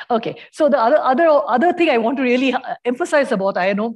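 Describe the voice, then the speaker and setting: Against a quiet background, the speech moves at a very fast pace. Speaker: physicist presenting a neutrino project; speaker. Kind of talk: conference talk. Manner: halting, many fillers.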